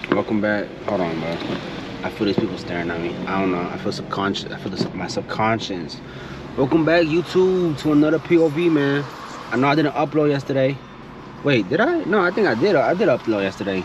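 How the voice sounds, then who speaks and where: Relaxed in tone, a man talks at a fairly quick pace with a fairly high pitch and very wide pitch swings against noticeable background noise. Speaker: car vlogger. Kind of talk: casual vlog while driving. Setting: in a car with windows down. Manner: casual, relaxed. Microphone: distortion from open window.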